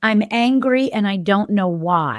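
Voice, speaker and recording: Speaking at a fairly slow pace, a woman with a medium pitch and lively intonation has an ordinary speaking voice, in a very clean recording with a silent background. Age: 60s. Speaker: developmental health practitioner and podcast host. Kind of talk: casual podcast monologue. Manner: conversational, with self-interruptions and repetitions.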